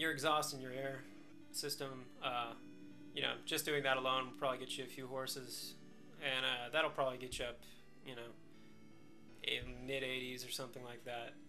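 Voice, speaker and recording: With music in the background, a man of medium pitch speaks at a moderate pace in a monotone, flat intonation, leaving long, frequent pauses. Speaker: motorcycle reviewer. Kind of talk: casual talk to camera.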